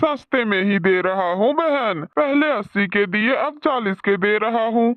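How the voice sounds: The clip is a cartoonish character voice delivered at a moderate pace. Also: man, high pitch for a man.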